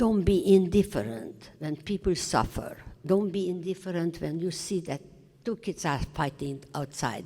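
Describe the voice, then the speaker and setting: A woman's dark, mellow tone with vocal fry, lively intonation and a fairly slow pace. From Romania, Transylvania. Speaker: Holocaust survivor. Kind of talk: testimony talk to students. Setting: high school classroom. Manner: halting.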